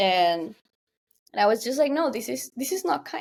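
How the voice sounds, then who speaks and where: In a Spanish accent, a woman with a fairly high pitch talks at a moderate pace, her pitch swinging very widely. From Guatemala. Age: 20s. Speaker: tech entrepreneur. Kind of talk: podcast interview. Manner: halting.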